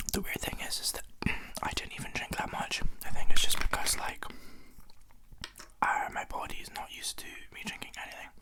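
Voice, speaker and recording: Whispering in a relaxed tone at a fairly quick pace, a man leaves long, frequent pauses, with big swings in loudness and noticeable background noise. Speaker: ASMR content creator. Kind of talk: casual talk to camera. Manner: soft-spoken, relaxed, chatty, with eating sounds.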